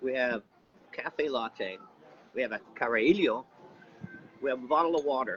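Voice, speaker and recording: A man at a medium pitch speaks with lively intonation at a moderate pace, with long, frequent pauses. Noticeable background noise sits behind him. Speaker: travel live streamer. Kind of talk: casual live stream chat. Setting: outdoors, on a break at a cafe during a walk.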